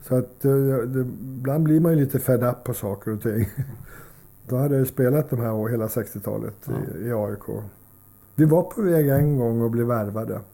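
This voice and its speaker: A man's medium-pitched voice has a dark, mellow tone, moving at a moderate pace with ordinary pitch variation. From Sweden, Solna (Stockholm area). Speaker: former ice hockey player, coach and commentator. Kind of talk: casual interview. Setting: at his home. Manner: halting, many repetitions.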